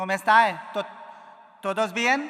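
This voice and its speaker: An animated man's raised, projected voice, high-pitched with a bright, sharp tone, in an Indian accent, at a moderate pace with ordinary pitch variation. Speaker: konnakol percussionist and lecturer. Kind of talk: lecture.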